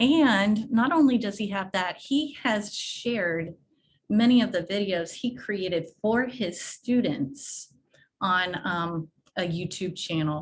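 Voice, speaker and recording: A woman talks very slowly at a medium pitch. Her voice is somewhat breathy, with lively intonation. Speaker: education technology presenter. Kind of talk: webinar presentation. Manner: casual.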